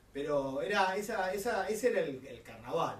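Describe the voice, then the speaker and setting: A man's high voice in a Rioplatense accent, with very wide pitch swings and a fairly slow pace, plus audible room echo and noticeable background noise. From Buenos Aires, Argentina. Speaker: carnival figure. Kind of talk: interview testimony.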